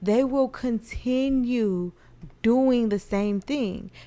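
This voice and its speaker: A soft-spoken voice in a dark, mellow tone shows ordinary pitch variation. The recording is very clean with a silent background. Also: woman. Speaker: podcast host and nurse. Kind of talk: casual monologue podcast.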